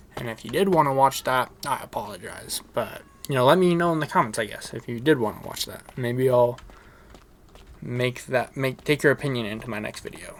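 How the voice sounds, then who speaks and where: Fairly quick speech from a man at medium pitch, ordinary pitch variation, and noticeable background noise. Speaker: gaming YouTuber. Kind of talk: gameplay commentary. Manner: casual, halting.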